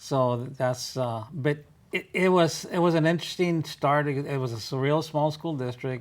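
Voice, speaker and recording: A man speaks with an American accent at a fairly high pitch. His pace is moderate and his pitch varies in an ordinary way. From West Texas. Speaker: retired educator, community volunteer. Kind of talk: interview. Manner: halting.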